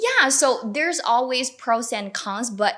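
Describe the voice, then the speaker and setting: A woman in a Chinese accent at a fairly slow pace, with very wide pitch swings. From China. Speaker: newcomer to Canada. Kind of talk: panel discussion. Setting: video call.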